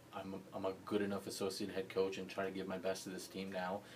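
Noticeable background noise sits behind a man talking at a fairly quick pace in a very deep, low pitch. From US (moved from Libya and Pakistan at age 12). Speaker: college basketball coach. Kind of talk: interview.

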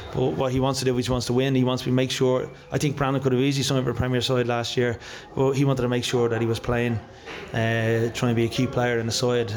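A man's medium-pitched voice, very fast, monotone and flat, very even in loudness, with audible room echo and noticeable background noise. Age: 40s. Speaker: football manager. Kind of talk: post-match interview.

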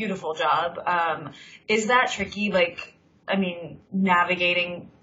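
Noticeable background noise sits behind a woman's fairly low voice. She speaks at a fairly slow pace with ordinary pitch variation. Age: 30s. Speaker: podcast host, freelance journalist. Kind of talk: casual interview chat. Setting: Skype call. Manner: animated.

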